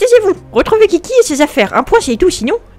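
Using a put-on character voice, a woman speaks at a very fast pace with an extremely high pitch and very wide pitch swings. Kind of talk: curt, authoritative. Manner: threatening, scolding.

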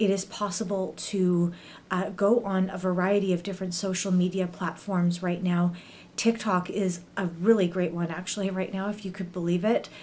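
A woman with a western Canadian accent speaks at a moderate pace in a monotone, flat intonation. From Canada. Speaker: YouTuber; video blogger. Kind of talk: educational monologue. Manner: frequent filler words. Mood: serious, earnest. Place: home room. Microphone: webcam.

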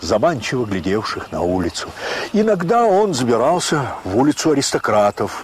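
Pitch swinging very widely, a man talks at a moderate pace. Noticeable background noise can be heard. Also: medium pitch for a man. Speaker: audiobook narrator. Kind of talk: audiobook narration of classic literature.

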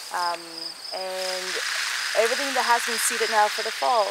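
Over loud background noise, a woman talks at a moderate pace, and the sound is dry with no echo. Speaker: guide. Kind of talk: guided tour talk. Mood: calm, warm, reflective. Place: garden.

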